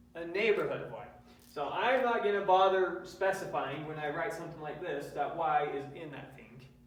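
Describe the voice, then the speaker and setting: A man talks at a moderate pace in a high pitch with ordinary pitch variation and big swings in loudness, amid noticeable background noise and audible room echo. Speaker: math lecturer. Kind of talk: lecture. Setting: classroom with students.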